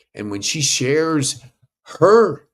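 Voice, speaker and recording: A man talks with vocal fry. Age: 60s. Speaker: podcast coach and summit host. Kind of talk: sales pitch; online summit presentation. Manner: enthusiastic.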